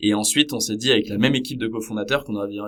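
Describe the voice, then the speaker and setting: A man speaks in a monotone with flat intonation. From Paris region, France. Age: 30s. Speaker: startup co-founder. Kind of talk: podcast interview. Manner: hesitant, many fillers.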